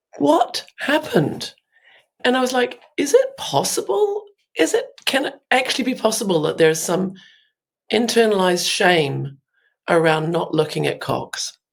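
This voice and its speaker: Speaking in a British accent, a woman keeps a moderate pace. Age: 50s. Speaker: artist. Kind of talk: podcast interview. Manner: animated.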